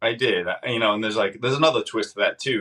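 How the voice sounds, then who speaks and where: A man speaks with a slight northern US accent and ordinary pitch variation. His tone is bright and sharp. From Massachusetts. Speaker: former sheriff's deputy and candidate for sheriff. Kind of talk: podcast interview.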